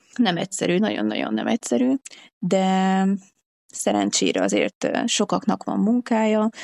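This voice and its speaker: Speaking at a fairly slow pace, a woman keeps her loudness very even in a dry, close recording with no echo. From Hungary. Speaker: traveller and hitchhiker. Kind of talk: casual interview.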